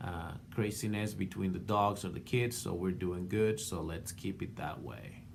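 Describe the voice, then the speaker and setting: Heard with audible room echo, a man with a non-native accent speaks at a fairly low pitch. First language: not English. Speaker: art student and portrait painter. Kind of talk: class video response. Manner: halting, many fillers.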